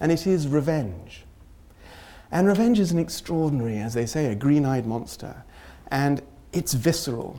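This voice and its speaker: With a British accent, this speaker talks at a moderate pace in a dark, mellow tone, leaving long, frequent pauses. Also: man, fairly high pitch for a man, lively intonation. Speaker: humanitarian researcher and lecturer. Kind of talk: academic lecture. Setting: lecture hall with audience.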